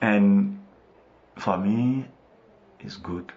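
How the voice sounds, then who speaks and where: A man is speaking here. He has a West African French accent. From Ivory Coast. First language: French (mother tongue Bété). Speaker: missionary. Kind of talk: radio interview. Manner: halting, with hesitations.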